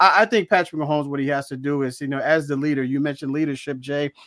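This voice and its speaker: A man with a fairly high pitch at a very fast pace and fairly even intonation, on a very clean recording with a silent background and a dry, close sound with no echo. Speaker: sports show co-host. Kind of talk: casual sports talk show banter.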